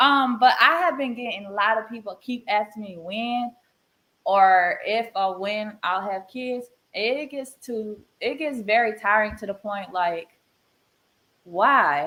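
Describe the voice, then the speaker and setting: With a Southern US accent, a woman speaks at a fairly slow pace in a bright, sharp tone. Her fairly high pitch shows ordinary pitch variation, and her loudness swings widely. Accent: Southern US accent, noticeable. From North Carolina, Charlotte. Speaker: podcast guest asking a question. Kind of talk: casual chat.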